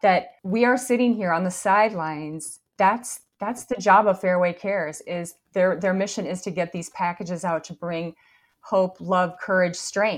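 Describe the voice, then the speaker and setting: Here is a woman with an ordinary speaking voice at a medium pitch. She talks at a moderate pace with ordinary pitch variation. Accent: American. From northern Wisconsin, Hayward. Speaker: mortgage company executive. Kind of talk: interview.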